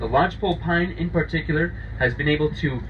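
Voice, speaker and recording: A man at a fairly quick pace, over light background noise. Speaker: boat tour guide. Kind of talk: guided tour commentary.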